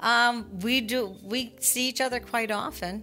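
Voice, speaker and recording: With music playing in the background, a woman speaks in a Canadian accent. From Canada. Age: 60s. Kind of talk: interview answer.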